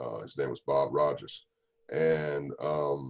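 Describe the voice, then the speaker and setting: The speaker is a man in a Southern US accent. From US South, North Carolina (Raleigh-Durham). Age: 60s. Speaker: radio DJ. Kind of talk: interview. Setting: video call.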